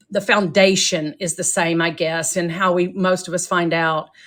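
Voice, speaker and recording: In a slight Texan accent, a woman speaks at a fairly slow pace on a very clean recording with a silent background. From Texas, Grand Prairie/Arlington area. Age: 60s. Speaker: author. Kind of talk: interview. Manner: halting.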